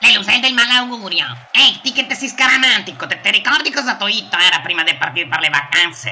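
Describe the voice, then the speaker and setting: This put-on character voice sits at a middle pitch with very wide pitch swings. The pace is fairly quick. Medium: dub.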